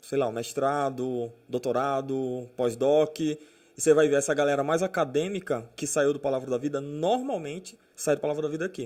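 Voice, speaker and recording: A man talks at a fairly slow pace. His fairly high pitch shows ordinary variation. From Brazil, moved around (Amazonas, São Paulo, Minas, Goiás, Natal). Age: 30s. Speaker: pastor. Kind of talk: casual chat.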